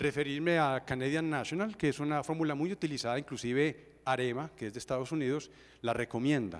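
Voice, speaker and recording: This man's voice sits fairly high, its pitch rising and falling in an ordinary way as he talks fairly fast. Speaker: engineer speaker at a seminar. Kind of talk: technical presentation.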